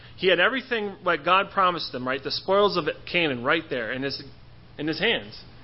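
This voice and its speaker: Speaking at a fairly quick pace, a man has a high pitch. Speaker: church member answering a Bible question. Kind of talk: Bible study talk. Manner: halting; fast.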